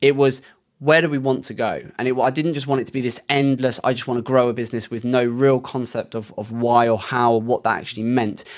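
With a British accent, the speaker moves at a fairly quick pace and keeps the intonation fairly even. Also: man, medium pitch for a man. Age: 30s. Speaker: SEO agency owner. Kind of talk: interview.

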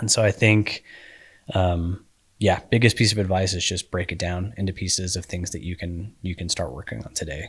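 On a very clean recording with a silent background, a man with a very deep, low pitch sounds somewhat breathy as he talks at a moderate pace with ordinary pitch variation. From Colorado (Colorado Springs). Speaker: endurance coach and cyclist. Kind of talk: casual chat.

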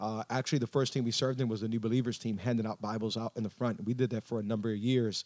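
Talking at a very fast pace with hardly any pauses, a man speaks at a medium pitch in a monotone with flat intonation. The recording is very clean with a silent background, and the sound is dry and close with no echo. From Miami. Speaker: pastor. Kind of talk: casual chat.

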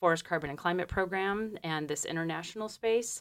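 A woman with a Michigan accent. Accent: Midwestern American (Michigan). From Detroit, Michigan. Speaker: forestry doctoral student and program lead. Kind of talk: interview. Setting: radio studio. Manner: hesitant, many ums.

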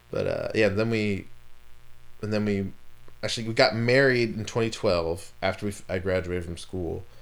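Amid audible room echo, a man with a fairly low pitch speaks with long, frequent pauses. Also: moderate pace. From Maryland, Montgomery County. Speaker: artist. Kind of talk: casual chat. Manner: animated.

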